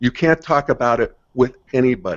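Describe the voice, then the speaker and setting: A man's medium-pitched, an unremarkable speaking voice with ordinary pitch variation. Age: 60s. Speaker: integral theory commentator. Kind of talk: casual conversation.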